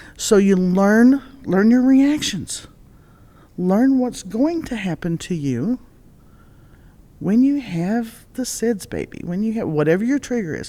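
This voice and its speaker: Using a fairly high pitch with very wide swings, a woman speaks at a fairly slow pace in a dark, mellow tone, leaving long, frequent pauses. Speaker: retired fire district chief and EMS educator. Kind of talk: podcast interview.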